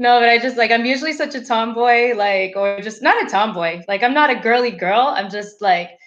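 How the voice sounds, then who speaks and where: With music in the background, a woman in an American accent speaks at a fairly quick pace and fairly high pitch, with ordinary pitch variation and hardly any pauses. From US South. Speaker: interview guest. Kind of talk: casual chat. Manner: animated.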